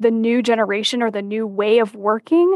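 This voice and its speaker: At a moderate pace, a normal speaking voice comes through with a dry, close sound and no echo. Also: woman. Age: 20s. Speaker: business consultant and author. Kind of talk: interview.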